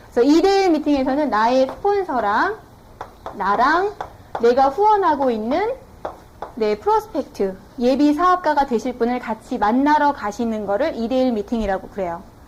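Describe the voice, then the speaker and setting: A woman speaks at a moderate pace with a high pitch and very wide pitch swings. Noticeable background noise can be heard. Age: 20s. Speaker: network marketing business owner, former TV announcer. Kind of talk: business seminar lecture.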